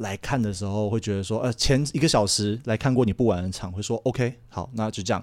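A man speaks in an unremarkable speaking voice at a fairly low pitch and a fairly quick pace, with ordinary pitch variation and hardly any pauses. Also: very clean recording, silent background. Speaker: adult film crew member. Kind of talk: casual chat.

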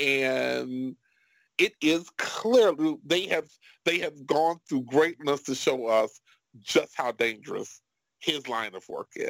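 With an American accent and lively intonation, a man speaks at a very slow pace in a fairly high pitch, the sound dry and close with no echo. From Chicago, South Side. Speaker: podcast host. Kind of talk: casual chat.

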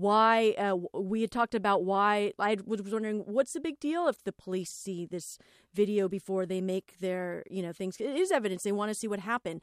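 A woman with an American accent and a plain, everyday voice speaks at a medium pitch and moderate pace in a dry, close sound with no echo. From Los Angeles. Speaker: podcast host. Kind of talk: casual chat.

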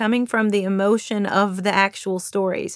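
A woman speaks at medium pitch with a slight Southern Kentucky accent. The sound is dry and close, with no echo. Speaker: author and influencer. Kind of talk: interview monologue.

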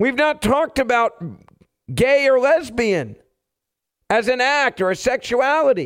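With an extremely high pitch, a man speaks at a fairly slow pace, using ordinary pitch variation, very even loudness and long, frequent pauses. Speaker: radio host. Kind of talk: angry rant. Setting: radio studio. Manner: loud, fired-up and combative.

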